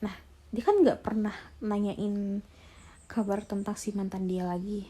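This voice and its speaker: Speaking at a very slow pace, a woman has a fairly high pitch. Her tone is dark and mellow, and somewhat breathy. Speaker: ASMR storyteller. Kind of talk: story narration (retelling a sent-in story).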